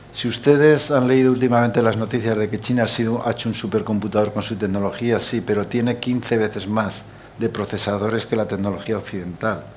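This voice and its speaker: With hardly any pauses, a man talks at a fairly quick pace and a medium pitch over noticeable background noise. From Aragon, Spain. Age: 70s. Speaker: supercomputing center director. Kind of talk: panel discussion. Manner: animated.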